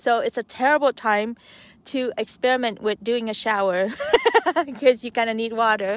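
Recorded with a dry sound and no echo, a woman talks at a moderate pace with ordinary pitch variation. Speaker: van-life vlogger. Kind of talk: casual vlog chat. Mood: cheerful, playful. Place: open country. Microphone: phone near.

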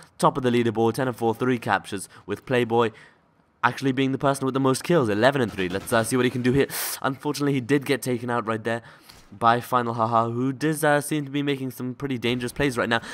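A man talks at a very fast pace with a medium pitch. His intonation stays fairly even. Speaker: amateur esports shoutcaster. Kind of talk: live game commentary.

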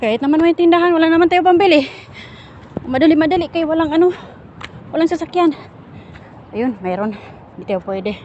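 A woman speaks at a very fast pace with an extremely high pitch and lively intonation. She leaves long, frequent pauses, and noticeable background noise runs underneath. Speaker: vlogger. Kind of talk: casual walking vlog. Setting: outdoors. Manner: animated.

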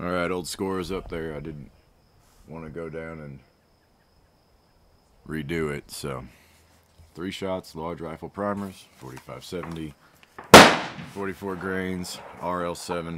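Over light background noise, a man with an Appalachian accent speaks in a very deep, low voice with fairly even intonation and long, frequent pauses. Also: fairly slow pace. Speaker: hobby ammunition reloader. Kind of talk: casual talk to camera. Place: open country. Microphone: phone near.

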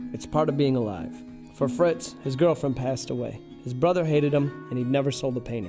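Music plays behind a man talking at a fairly quick pace. His pitch is medium and his intonation is lively. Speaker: filmmaker. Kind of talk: documentary trailer narration.

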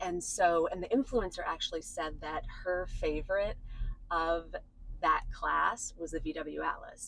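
A woman's voice comes through as a dry sound with no echo. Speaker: interviewee. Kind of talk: interview answer. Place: car. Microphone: phone near.

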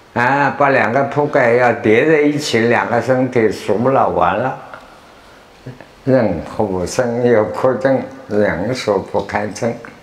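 Through audible room echo, a man speaks at a very slow pace and medium pitch. His loudness stays very even, with ordinary pitch variation. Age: 80s+. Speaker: Buddhist teacher and lecturer. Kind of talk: lecture to students. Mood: humorous, smiling. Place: hall. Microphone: lapel.

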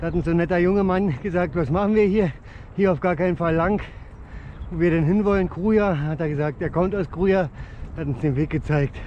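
A man talks at a high pitch with ordinary pitch variation. The sound is dry with no echo, over light background noise. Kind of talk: casual vlog chat. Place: bicycle. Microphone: phone near.

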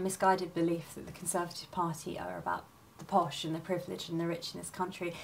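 A woman's fairly low voice at a very fast pace, with audible room echo. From rural Oxfordshire, England. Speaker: council candidate and teacher. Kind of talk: campaign statement. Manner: formal.

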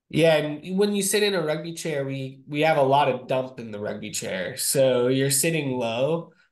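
Against a quiet background, a man with fairly high pitch speaks at a moderate pace, his intonation lively and his speech nearly free of pauses. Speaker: wheelchair rugby player. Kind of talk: casual video-call discussion. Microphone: video call.

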